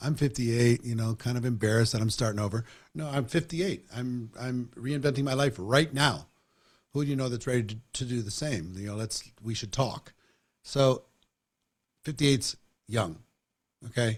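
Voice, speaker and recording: On a very clean recording with a silent background, a somewhat breathy man speaks at a moderate pace with long, frequent pauses. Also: medium pitch for a man, ordinary pitch variation. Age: 60s. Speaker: network marketing trainer and interviewer. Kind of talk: interview conversation.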